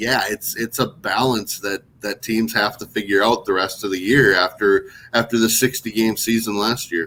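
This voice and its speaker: A man with a northern Minnesota accent talks at a moderate pace with hardly any pauses, in a medium pitch. His tone is bright and sharp, and his intonation fairly even. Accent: northern Minnesota accent, similar to Toronto. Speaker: baseball website founder. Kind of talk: podcast interview.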